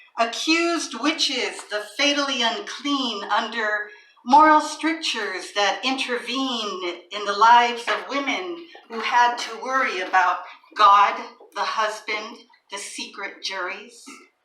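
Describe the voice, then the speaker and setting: A woman's intonation is lively as noticeable background noise runs beneath her. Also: fairly high pitch for a woman, big swings in loudness. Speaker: poet. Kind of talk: poetry reading. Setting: live event in a small venue.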